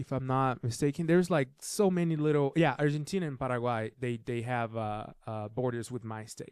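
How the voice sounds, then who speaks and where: A man with a Brazilian accent speaks with ordinary pitch variation and hardly any pauses. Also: medium pitch for a man, moderate pace. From southern Brazil, Curitiba. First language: Portuguese. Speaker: filmmaker. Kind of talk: casual interview chat.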